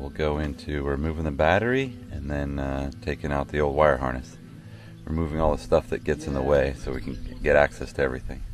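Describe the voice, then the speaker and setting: A man with a very deep, low voice speaks at a fairly quick pace and ordinary pitch variation. Faint music plays in the background of this dry, echo-free recording. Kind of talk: casual vlog chat and tutorial. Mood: upbeat, amused. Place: garden. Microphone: phone near.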